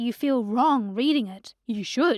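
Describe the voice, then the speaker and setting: Over a very clean recording with a silent background, a woman speaks at a fairly slow pace with lively intonation and a dramatic, upbeat tone. The sound is dry and close, with no echo. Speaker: voice actor. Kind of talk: comedic animated book recap narration. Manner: dramatic, sassy, upbeat.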